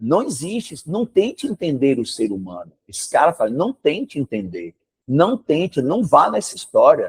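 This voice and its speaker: A man speaks at a moderate pace in an animated tone with big swings in loudness. The sound is dry and close, with no echo. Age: 60s. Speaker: history teacher. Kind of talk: classroom lecture with informal digression.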